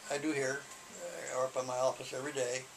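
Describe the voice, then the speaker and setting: A fairly high man's voice with fairly even intonation and noticeable background noise. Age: 70s. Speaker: poet and writer, retired writing teacher. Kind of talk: interview. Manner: halting, many repetitions.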